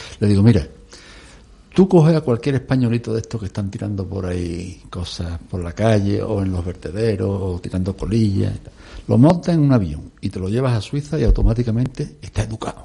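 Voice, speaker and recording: A man talks in a fairly low pitch with lively intonation. His voice is somewhat breathy, with a dark, mellow tone. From Extremadura, Spain, small village. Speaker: environmental activist. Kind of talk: radio discussion.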